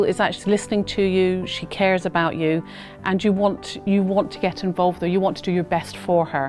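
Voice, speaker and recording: A woman talks at a fairly quick pace and a medium pitch. Music plays in the background. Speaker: charity staff member. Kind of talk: interview answer.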